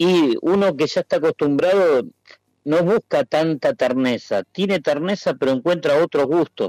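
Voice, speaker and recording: Recorded dry and close with no echo, a man with a high pitch speaks fairly slowly, keeping very even loudness and ordinary pitch variation. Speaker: restaurant owner and meat sommelier. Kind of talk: casual interview.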